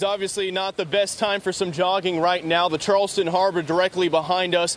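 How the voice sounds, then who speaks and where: A man's high-pitched, monotone, flat delivery at a fairly quick pace amid noticeable background noise. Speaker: TV news reporter. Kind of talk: live news field reporting. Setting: outdoors on location. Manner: urgent, shouting at times.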